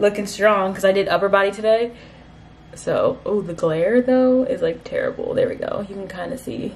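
Light background noise runs behind a woman. Her loudness swings a lot. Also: moderate pace. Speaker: lifestyle vlogger. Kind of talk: casual vlog chat.

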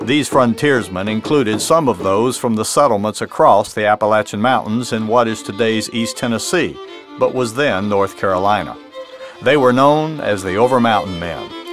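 Over music in the background, a man talks at a medium pitch with ordinary pitch variation. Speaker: author and history narrator. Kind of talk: documentary history narration.

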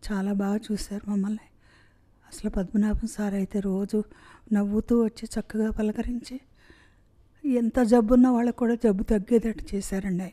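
Over a quiet background, a woman speaks in a dark, mellow tone with fairly even intonation. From Hyderabad. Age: 60s. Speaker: heart surgery patient. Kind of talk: patient testimonial. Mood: grateful, warm. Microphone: handheld.

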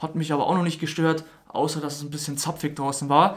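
A man's fairly high voice at a fast pace, with little pitch movement

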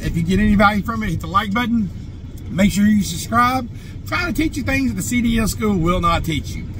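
Noticeable background noise sits behind a man speaking at a fairly quick pace, with a dry sound and no echo. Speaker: truck driver trainer. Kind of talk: tutorial. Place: car. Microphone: phone near.

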